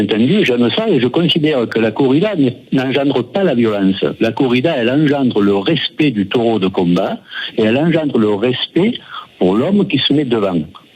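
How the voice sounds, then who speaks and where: A man at a moderate pace with very wide pitch swings and very even loudness, against noticeable background noise. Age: 60s. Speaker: caller, bullfighting fan. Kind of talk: radio phone-in debate.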